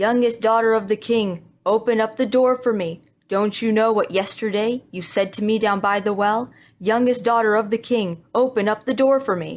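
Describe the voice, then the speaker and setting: Putting on a croaky character voice at a fairly high pitch, a woman speaks at a moderate pace. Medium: read story. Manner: croaking.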